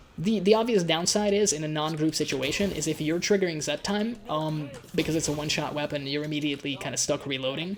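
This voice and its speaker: Speech rushes by at a very fast pace with hardly any pauses. Noticeable background noise is present. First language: Hungarian. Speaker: gaming YouTuber. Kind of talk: gameplay commentary. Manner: casual, hesitant with repetitions.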